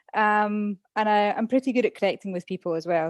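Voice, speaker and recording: A woman with a Scottish accent talks at a fairly quick pace and medium pitch with ordinary pitch variation, the sound dry and close with no echo in a very clean recording with a silent background. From Scotland. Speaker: former English teacher, podcast guest. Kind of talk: casual interview chat.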